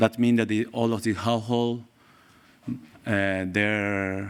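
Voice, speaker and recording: In a Spanish accent, a man talks very slowly at a fairly low pitch, his intonation monotone and flat. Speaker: pediatrician and researcher. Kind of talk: conference presentation. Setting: conference stage with audience. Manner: halting.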